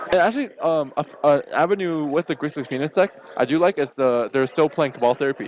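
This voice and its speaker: Spoken at a fairly quick pace with a Chinese accent, the voice shows ordinary pitch variation over noticeable background noise. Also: man. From China. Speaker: card game tournament commentator. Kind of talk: live commentary.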